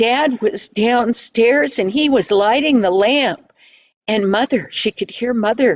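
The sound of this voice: Against a quiet background, the clip carries an unforced reading voice.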